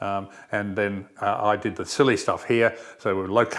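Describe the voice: The speaker uses plain reading aloud with fairly even intonation.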